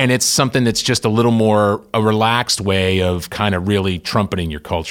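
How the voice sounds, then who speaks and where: This man has an ordinary speaking voice, fairly low in pitch with ordinary pitch variation. He talks at a fairly quick pace with hardly any pauses. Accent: American. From Massachusetts (Worcester). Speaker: company CEO. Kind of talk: interview.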